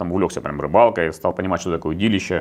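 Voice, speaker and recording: A man speaks at a very fast pace. His pitch is very deep and low. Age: 40s. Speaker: competitive angler; interview guest. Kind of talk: interview. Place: meeting room.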